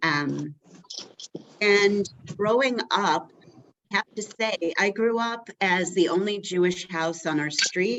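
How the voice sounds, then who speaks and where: A woman with an American accent and a medium pitch talks at a very slow pace, with long, frequent pauses and ordinary pitch variation. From Rochester, New York, US. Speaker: community relations worker, former teacher. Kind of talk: personal testimony at a meeting. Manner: halting, many fillers.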